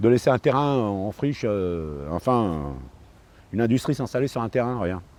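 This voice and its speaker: A man's medium-pitched voice at a moderate pace, lively in intonation, with long, frequent pauses. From France, Paris suburbs (Seine-Saint-Denis). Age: 60s. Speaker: park ranger. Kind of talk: documentary interview. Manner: hesitant, many fillers.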